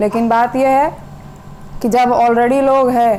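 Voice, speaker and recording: A woman with a Bihari accent speaks in a high pitch. Her intonation is monotone and flat, and noticeable background noise is present. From Bihar, India. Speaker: teacher. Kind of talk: casual monologue to camera.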